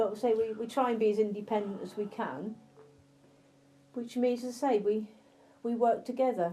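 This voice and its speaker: A speaker with an English accent talks at a moderate pace with fairly even intonation and long, frequent pauses. Music plays in the background. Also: woman, fairly high pitch for a woman. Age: 50s. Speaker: blind interviewee. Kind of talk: interview.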